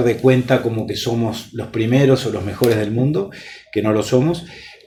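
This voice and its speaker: A man with a medium-pitched voice talks as noticeable noise carries in the background. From Uruguay. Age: 50s. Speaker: politician. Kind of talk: interview. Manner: measured, formal with frequent hesitations.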